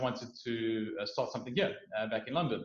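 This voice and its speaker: A man talks at a fairly quick pace in a South African accent. Room echo is audible. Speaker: startup founder. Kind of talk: interview.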